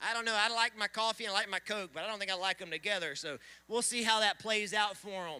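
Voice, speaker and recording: High-pitched man with an American accent, raised and projected, bright and sharp in tone, animated, at a fairly quick pace. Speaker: event emcee. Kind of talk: live commentary. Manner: loud.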